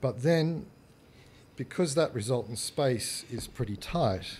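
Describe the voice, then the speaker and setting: The voice is somewhat breathy and moves at a fairly slow pace. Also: man. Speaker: architect. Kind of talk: presentation talk. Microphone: leaning down close to microphone.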